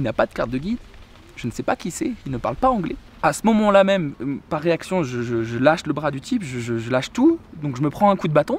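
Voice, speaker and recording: A man's fairly high voice moves through very wide pitch swings in a dry recording with no echo. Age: 20s. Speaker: travel vlogger. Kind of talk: casual storytelling vlog. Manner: halting, many repetitions and fillers. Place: garden. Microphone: phone near.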